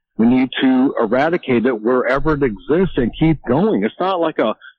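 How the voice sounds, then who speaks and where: This man has an ordinary speaking voice, fairly high in pitch, with lively intonation at a moderate pace. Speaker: caller. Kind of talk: casual call-in chat. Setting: phone call.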